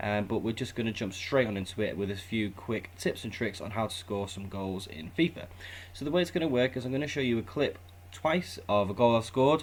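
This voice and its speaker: A man with a British accent, fairly low pitch, lively intonation and a fairly quick pace. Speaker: gaming YouTuber. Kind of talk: gameplay tutorial commentary. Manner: casual.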